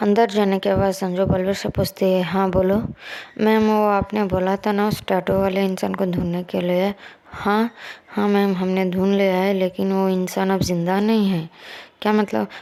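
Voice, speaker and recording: A woman speaks at a medium pitch and a fairly slow pace. Her intonation is monotone and flat, and her loudness stays very even. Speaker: storyteller. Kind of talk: reading a story aloud.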